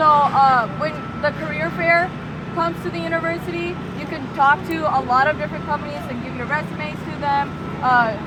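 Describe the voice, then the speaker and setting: Fairly low in pitch, a woman talks at a fairly quick pace with very wide pitch swings. Noticeable background noise and audible room echo are present. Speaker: campus tour guide. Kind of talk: guided campus tour. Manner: fast.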